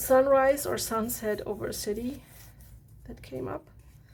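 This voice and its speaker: Speaking at a fairly slow pace with a relaxed tone, a woman is heard with audible room echo. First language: German. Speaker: art journaling creator. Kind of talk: casual tutorial walkthrough. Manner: relaxed, halting with fillers.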